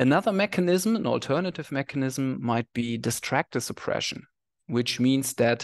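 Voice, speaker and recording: Against a quiet background, a man talks with vocal fry and ordinary pitch variation. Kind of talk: lecture. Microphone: headset.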